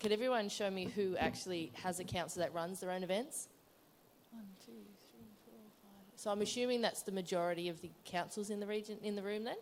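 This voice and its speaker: A woman with an Australian accent, medium-pitched and fairly quick, with big swings in loudness. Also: ordinary pitch variation. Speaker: council events officer, audience member. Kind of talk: conference Q&A question. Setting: conference room with audience.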